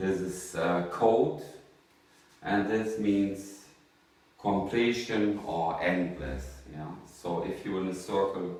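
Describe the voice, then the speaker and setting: A man's very deep, low voice at a very slow pace, with audible room echo and noticeable background noise. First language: not English. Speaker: artist. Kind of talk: monologue to camera. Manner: halting, many fillers.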